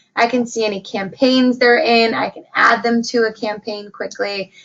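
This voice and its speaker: A woman talks in a fairly high-pitched voice. Noticeable background noise runs underneath. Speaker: software trainer. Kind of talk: webinar tutorial. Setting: online webinar broadcast. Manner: hesitant, many fillers.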